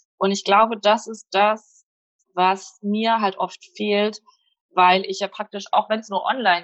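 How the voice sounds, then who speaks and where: Here a woman talks in a plain, everyday voice at a medium pitch. Her intonation stays fairly even. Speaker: blogger and freelancer. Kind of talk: casual chat.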